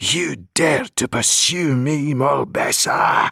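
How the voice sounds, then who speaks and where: A raspy, hissing put-on character voice. It moves at a very slow pace. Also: man, fairly high pitch for a man. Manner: menacing.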